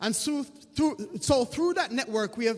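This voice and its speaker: A man speaks with an extremely high pitch that swings very widely. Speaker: diaspora community leader. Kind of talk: conference panel talk. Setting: stage with audience.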